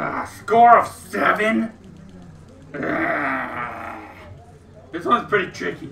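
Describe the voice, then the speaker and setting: A man with a high voice speaks at a fairly slow pace, with long, frequent pauses. There is audible room echo and light background noise. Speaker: gamer. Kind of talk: casual gameplay commentary. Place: home room.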